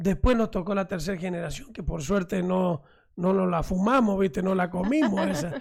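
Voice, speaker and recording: Here a man speaks at a high pitch. His pace is moderate and his pitch variation ordinary. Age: 60s. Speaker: mayor. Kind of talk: radio interview.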